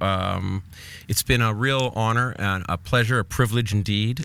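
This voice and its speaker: A man has a normal speaking voice, fairly low in pitch with fairly even intonation. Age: 40s. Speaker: podcast host and musician. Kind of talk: casual chat.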